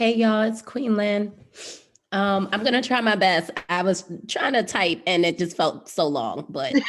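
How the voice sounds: In an ordinary speaking voice, a woman talks at a fairly slow pace. Her pitch is medium with ordinary variation.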